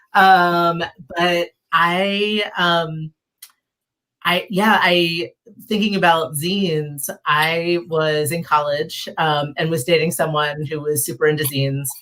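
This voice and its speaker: Speaking very slowly with an American accent, a woman uses a fairly low pitch, fairly even intonation and a bright, sharp tone. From Philadelphia. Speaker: zine library founder. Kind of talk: casual interview chat.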